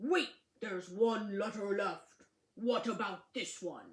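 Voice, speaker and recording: This is a put-on character voice with a rumbling quality and fairly high pitch. It moves at a fairly slow pace. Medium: read story. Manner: grumbling.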